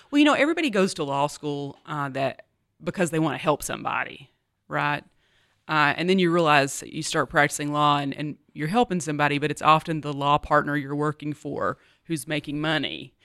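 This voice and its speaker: In a very clean recording with a silent background, a woman with an American accent speaks at a fairly quick pace in a very deep, low pitch and with fairly even intonation. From US South. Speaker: university vice president. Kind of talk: interview.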